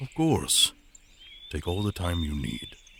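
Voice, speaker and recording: Using a cartoonish character voice, a man speaks at a fairly slow pace with a fairly low pitch. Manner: hesitant, soft.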